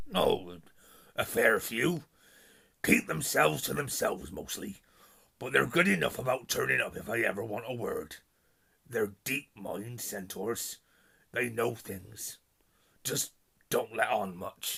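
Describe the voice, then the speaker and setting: Putting on a raspy, gruff character voice in a West Country accent, a man speaks at a medium pitch and a fairly slow pace with long, frequent pauses. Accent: rural West Country dialect. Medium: read story. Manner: gruff, plain-spoken.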